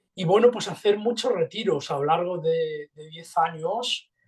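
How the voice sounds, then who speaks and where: A man speaking at a fairly slow pace. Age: 60s. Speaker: meditation teacher. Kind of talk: interview. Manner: halting.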